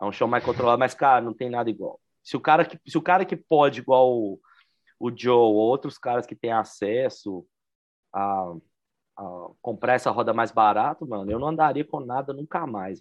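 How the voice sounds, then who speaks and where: Speaking at a moderate pace, a man has an unremarkable speaking voice with a medium pitch, ordinary pitch variation and big swings in loudness. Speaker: podcast co-host, aggressive skater. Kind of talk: casual chat.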